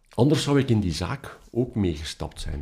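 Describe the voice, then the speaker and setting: In a Flemish accent, a man with a dark, mellow tone talks at a fairly quick pace. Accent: Flemish Dutch. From Belgium, Ghent. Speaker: professor of mathematics and philosophy. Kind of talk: interview, personal story. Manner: hesitant, many fillers.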